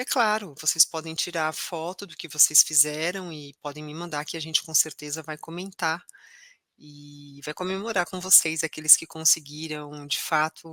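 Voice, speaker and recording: This woman speaks with a very deep, low pitch and a bright, sharp tone. Her loudness swings widely while her intonation stays fairly even. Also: dry, close sound with no echo. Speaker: ADHD course teacher. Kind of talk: online course lesson. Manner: slow.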